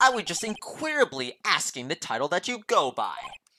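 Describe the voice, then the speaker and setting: In a put-on character voice, a man talks at a fairly quick pace with an extremely high pitch, the sound dry and close with no echo. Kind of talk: announcer voice. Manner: over the top, formal.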